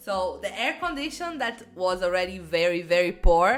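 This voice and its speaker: Music plays in the background as a woman speaks with a Brazilian accent. Her pace is fairly slow and her pitch swings very widely. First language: Portuguese. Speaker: YouTuber. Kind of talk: personal anecdote.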